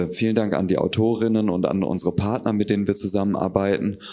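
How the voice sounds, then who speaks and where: Dark, mellow tones in a fairly low-pitched male voice. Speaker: festival host. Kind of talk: event introduction. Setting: stage with audience.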